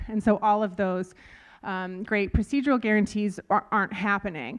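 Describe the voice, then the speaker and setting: A woman with an ordinary speaking voice and an American accent, at a moderate pace with ordinary pitch variation over a quiet background. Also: medium pitch for a woman. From United States. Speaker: lawyer and panelist. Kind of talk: conference panel talk. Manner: casual with many fillers.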